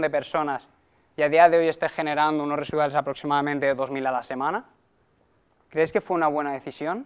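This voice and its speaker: A man at a fairly high pitch with fairly even intonation, against a quiet background. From Valencia, Spain; Spain. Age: 20s. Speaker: network marketing presenter; presenter. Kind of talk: sales pitch. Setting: stage with audience. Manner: halting. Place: meeting room. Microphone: lapel.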